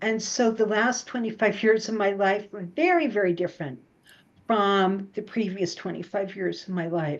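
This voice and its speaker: Against a quiet background, a woman with an ordinary speaking voice talks at a medium pitch with ordinary pitch variation. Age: 60s. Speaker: psychotherapist. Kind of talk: interview.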